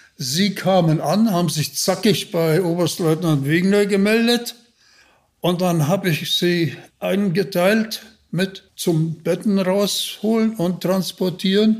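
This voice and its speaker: The speech moves at a very slow pace with ordinary pitch variation. Its loudness stays very even. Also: man, high pitch for a man. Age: 80s+. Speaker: retired special forces officer. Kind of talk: interview storytelling.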